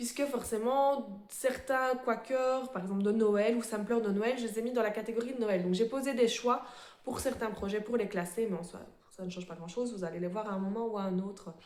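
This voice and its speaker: A woman talks at a moderate speed, her pitch varying in an ordinary way, and the room adds audible echo. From Belgium. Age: 30s. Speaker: embroidery vlogger. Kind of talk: casual show-and-tell vlog. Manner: hesitant, many fillers.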